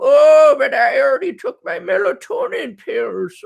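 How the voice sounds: A man's put-on character voice in an Irish accent, at a fairly slow pace.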